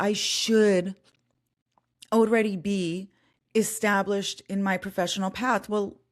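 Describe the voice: In a very clean recording with a silent background, a woman speaks slowly at medium pitch with little pitch movement.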